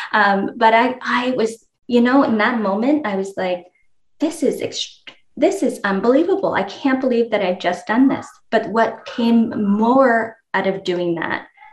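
In an ordinary speaking voice, a woman talks at a fairly slow pace, her fairly high pitch rising and falling with lively intonation. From Moncton, Canada. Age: 40s. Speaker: entrepreneur and nonprofit founder. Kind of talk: podcast interview.

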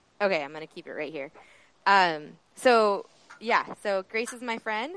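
In a dry, close sound with no echo, a woman speaks at a moderate pace with ordinary pitch variation. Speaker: podcast host, tour guide. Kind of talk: casual interview.

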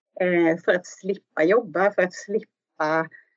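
At a fairly slow pace, a woman talks at a medium pitch with fairly even intonation. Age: 40s. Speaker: social worker and football coach. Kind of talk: interview. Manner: halting.

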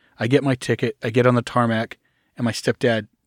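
A man's medium-pitched, monotone, flat delivery with an American accent at a fairly quick pace, in a very clean recording with a silent background and a dry, close sound with no echo. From Arkansas, US South. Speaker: cult survivor. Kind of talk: interview, personal story.

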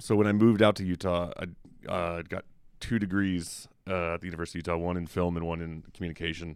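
Recorded very cleanly against a silent background, a man speaks in a very deep, low voice. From US South, Memphis. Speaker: film critic. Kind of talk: casual chat.

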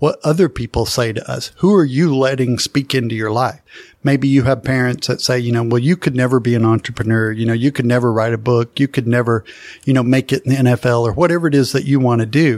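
Recorded with a dry, close sound and no echo, a man speaks at a very fast pace in a medium pitch with ordinary pitch variation. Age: 40s. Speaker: podcast co-host. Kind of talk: casual chat.

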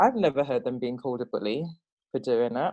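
A woman talks with a British accent. The background is quiet. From England. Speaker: guest host and manager. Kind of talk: casual chat.

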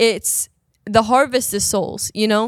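A woman's plain, everyday voice, fairly high in pitch, at a moderate pace, with a dry, close sound with no echo and a very clean recording over a silent background. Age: 20s. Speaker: youth ministry podcast guest. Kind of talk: casual chat.

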